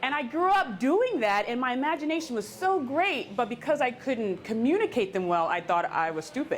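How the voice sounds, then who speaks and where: A woman's high voice with very wide swings in pitch, a fairly quick pace and hardly any pauses, with music in the background. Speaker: keynote speaker and former teacher. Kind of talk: Q&A after a talk. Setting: live event in a coffee shop with audience.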